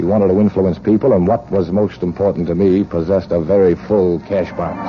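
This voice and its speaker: The intonation stays fairly even, with noticeable background noise behind it. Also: man, very deep, low pitch for a man, fairly quick pace. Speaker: radio drama narrator and protagonist, gun runner. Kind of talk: old-time radio drama first-person narration. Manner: wry, sardonic.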